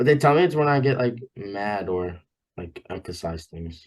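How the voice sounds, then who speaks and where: A man with an American accent speaks at a moderate pace and a medium pitch. His pitch swings very widely, and his loudness rises and falls sharply. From Long Island, New York. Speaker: college wrestler. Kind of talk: casual chat.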